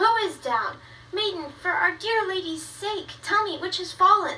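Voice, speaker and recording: A squeaky, put-on character voice from a woman, extremely high in pitch, at a moderate pace over clear background noise. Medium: short film.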